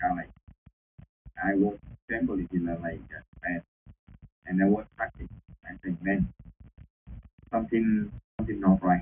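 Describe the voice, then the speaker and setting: A man with a Vietnamese accent and a very deep, low pitch speaks at a moderate pace with fairly even intonation, big swings in loudness, and long, frequent pauses. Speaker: former prisoner. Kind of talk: testimony. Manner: halting.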